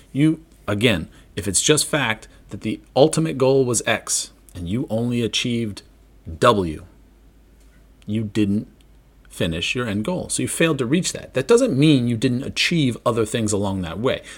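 A man at medium pitch speaks at a moderate pace in an animated tone, with lively intonation and long, frequent pauses. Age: 40s. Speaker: podcast host. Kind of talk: casual solo monologue.

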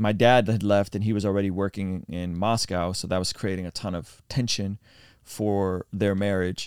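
In a very clean recording with a silent background, a man with a fairly low pitch talks at a moderate pace with monotone, flat intonation. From Azerbaijan, moved to US as child. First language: non-English, English second. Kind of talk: personal testimony interview. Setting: mobile podcast studio in an RV trailer.

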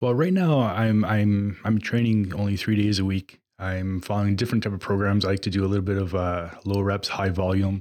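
Speaking at a fairly quick pace, a man with a fairly low pitch and an unremarkable speaking voice keeps his intonation fairly even on a very clean recording with a silent background. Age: 40s. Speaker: personal trainer and gym owner. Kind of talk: casual chat.

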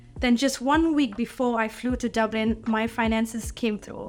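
There is music in the background. A woman speaks with a fairly high pitch. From Malaysia. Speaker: church member and drummer. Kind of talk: testimony.

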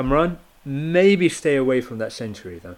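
Lively intonation marks a man's medium-pitched voice at a moderate pace.

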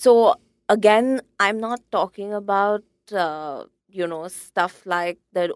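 A woman with ordinary pitch variation, dry, close sound with no echo, and a very clean recording with a silent background. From India. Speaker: graphic designer and typographer. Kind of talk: casual interview.

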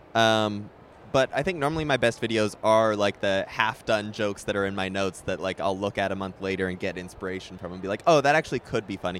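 A fairly low-pitched man at a very fast pace with ordinary pitch variation. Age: 20s. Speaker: online video creator. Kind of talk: casual interview chat.

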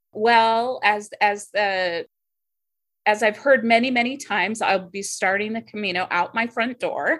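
A woman with an unremarkable speaking voice speaks in an American accent at a fairly high pitch, with ordinary pitch variation. She goes at a fairly slow pace, and the recording is very clean with a silent background. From US, Navy family, Washington home base. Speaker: aspiring pilgrim. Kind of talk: interview.

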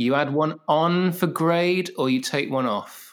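In a very clean recording with a silent background, a man with a southern English accent speaks at a very slow pace. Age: 40s. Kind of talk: casual interview. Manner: halting, many fillers.

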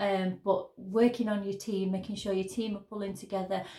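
A woman's medium-pitched voice with a Yorkshire accent, flat and monotone, at a moderate pace. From northern England, Sheffield. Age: 30s. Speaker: business owner. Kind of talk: interview.

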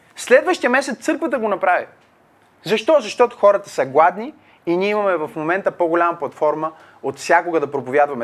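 High in pitch, a man's voice is heard. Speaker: pastor. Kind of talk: Q&A teaching with Bible exposition. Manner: halting, many fillers.

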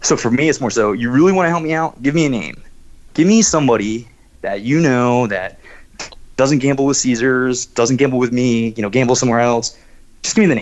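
A man at a medium pitch, fairly quick pace and ordinary pitch variation. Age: 20s. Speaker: casino host. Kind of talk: podcast interview. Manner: hesitant, filler-heavy.

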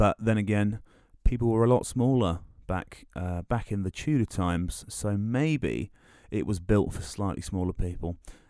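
A man with a southern English accent, fairly low in pitch with a dark, mellow tone, ordinary pitch variation and a moderate pace, on a very clean recording with a silent background. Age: 20s. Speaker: podcast host. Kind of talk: solo monologue, casual. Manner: halting, many fillers.

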